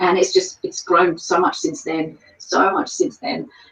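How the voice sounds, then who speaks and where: Someone speaks at a fairly slow pace with an Australian accent. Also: woman. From Australia, Sydney. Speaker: paranormal investigator. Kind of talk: interview. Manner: hesitant with fillers.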